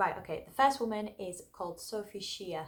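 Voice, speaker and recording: A woman with an English accent, at a moderate pace and with ordinary pitch variation. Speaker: singer and vocal tips youtuber. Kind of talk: tutorial. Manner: casual, chatty.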